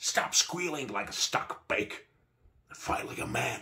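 In a put-on character voice, a man speaks at a fairly slow pace with a bright, sharp tone, vocal fry, medium pitch, and lively intonation.

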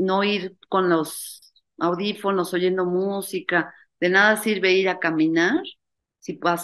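Over a quiet background, the intonation stays fairly even. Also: woman. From Mexico, Mexico City; Mexico. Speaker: university founder, spirituality event organizer; interview guest. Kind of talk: interview. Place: home room. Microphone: webcam.

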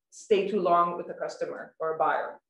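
A woman with a Swedish accent at a moderate pace, in a quiet background with audible room echo. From Sweden. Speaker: journalist and writer; journalist. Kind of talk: prepared talk. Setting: online webinar from home. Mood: earnest, critical. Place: home room. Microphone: video call.

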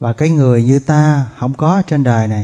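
Against a quiet background, a man talks at a very slow pace in a dark, mellow tone. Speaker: monk teacher. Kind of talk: sermon. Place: hall. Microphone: podium.

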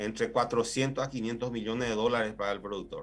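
A man speaks with monotone, flat intonation. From Paraguay, Itapúa. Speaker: agricultural engineer, plant health official. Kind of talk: expert interview. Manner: hesitant, many fillers. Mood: calm, explanatory. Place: office. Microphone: video call.

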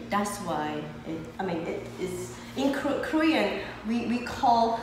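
Noticeable background noise surrounds a woman as she speaks. Audible room echo is present too. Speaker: lifestyle coach. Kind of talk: explanatory talk to guests. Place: gym. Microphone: camera far.

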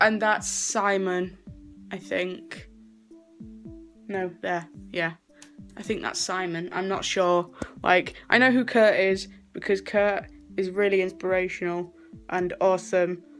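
Faint music plays behind a woman who speaks fairly slowly in a monotone, flat voice, leaving long, frequent pauses. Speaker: vlogger. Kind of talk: casual vlog chat. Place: home room. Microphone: phone near.

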